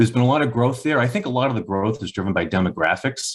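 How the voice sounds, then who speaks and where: A man with a Boston accent, very fast pace and ordinary pitch variation, against a quiet background. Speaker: bank executive. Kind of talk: podcast interview.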